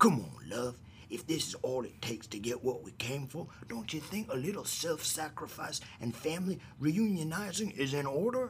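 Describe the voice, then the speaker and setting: A man puts on a character voice at a fairly high pitch, speaking at a moderate pace over clear background noise. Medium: audio drama. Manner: cheeky, slangy, mocking.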